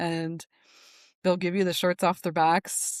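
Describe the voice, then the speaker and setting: A woman speaks in a normal speaking voice, fairly low in pitch and at a fairly slow pace, on a very clean recording with a silent background and a dry, close sound with no echo. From Newfoundland, Canada. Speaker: nervous system specialist. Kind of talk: podcast interview. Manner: casual, many fillers.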